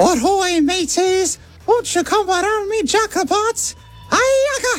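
With clear music in the background, a put-on character voice at an extremely high pitch moves at a fairly slow pace. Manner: bad, playful.

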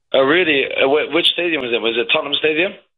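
Speaking fast, a man uses a fairly high pitch with ordinary pitch variation.

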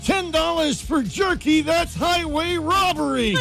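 A man speaks at a fairly slow pace in a put-on character voice, with loud music playing in the background.

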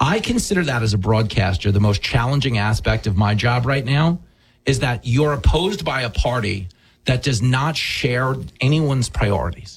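A man with a New York accent talks at a moderate pace in a medium pitch, with few pauses and lively intonation.

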